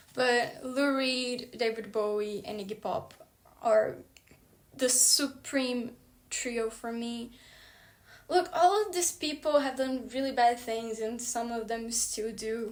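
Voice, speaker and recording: A woman with a high pitch speaks at a very slow pace. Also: ordinary pitch variation. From Brazil. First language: Portuguese. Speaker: book vlogger. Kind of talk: casual monologue. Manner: animated.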